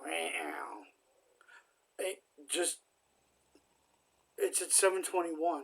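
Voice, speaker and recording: The pace is very slow. A man speaks with long, frequent pauses. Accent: American. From New Jersey. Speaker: gaming streamer. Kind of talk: casual gameplay commentary. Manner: cannot roll R's.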